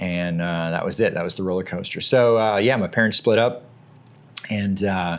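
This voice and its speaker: A man with an American accent speaks at a moderate pace in a fairly low pitch. His intonation is fairly even, an ordinary speaking voice. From Virginia, US (military family, early years in England). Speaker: military veteran, nonprofit leader. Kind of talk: interview, personal life story. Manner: casual, with many fillers.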